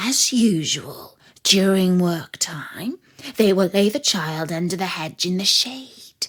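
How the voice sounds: A woman's put-on character voice, fairly low-pitched and fairly bright, with a slightly husky edge, lively intonation and a slow pace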